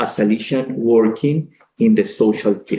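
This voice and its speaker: A man with a Colombian accent speaks in a dark, mellow tone. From Colombia (Cali). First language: Spanish. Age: 40s. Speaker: priest. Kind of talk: speech to an audience. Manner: halting, with frequent fillers.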